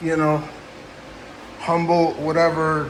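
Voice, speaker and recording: Noticeable background noise and audible room echo surround a voice that moves at a fairly slow pace with monotone, flat intonation. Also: man. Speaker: cannabis grower YouTuber. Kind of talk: casual rambling monologue. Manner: halting, stuttering.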